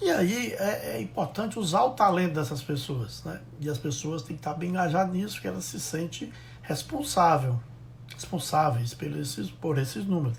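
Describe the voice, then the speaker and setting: A man at a moderate pace, with audible room echo. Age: 60s. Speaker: logistics consultant. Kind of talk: live stream talk. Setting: Instagram live. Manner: halting.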